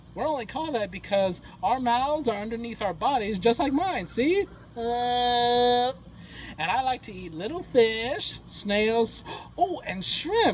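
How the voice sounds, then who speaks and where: Over clear background noise, a cartoonish character voice talks at a fairly slow pace. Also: man, extremely high pitch for a man. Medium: puppet show. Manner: upbeat, chatty.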